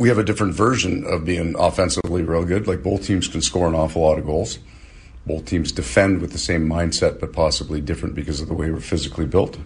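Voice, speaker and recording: A man's very deep, low voice at a very fast pace. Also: ordinary pitch variation. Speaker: hockey head coach. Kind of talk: post-practice media interview. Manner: rambling, self-correcting explanation.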